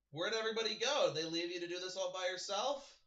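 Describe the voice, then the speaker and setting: A man's put-on character voice, very fast and high-pitched. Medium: actual play. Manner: casual, friendly.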